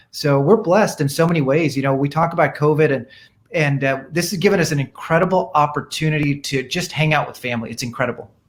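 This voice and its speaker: A man with an American accent speaks at a very fast pace with a fairly high pitch. His voice is somewhat breathy, with ordinary pitch variation. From India, emigrated to US as a child in the 1970s. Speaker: dermatologist. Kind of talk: interview. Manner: animated.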